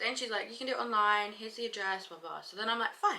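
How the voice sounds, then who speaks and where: A London accent at a very fast pace, with ordinary pitch variation. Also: woman. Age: 20s. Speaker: vlogger. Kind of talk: casual vlog. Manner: animated.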